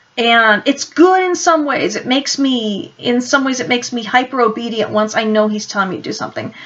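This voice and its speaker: This woman's high voice, with ordinary variation in pitch, comes through noticeable background noise. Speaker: Bible teacher. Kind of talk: Bible teaching talk.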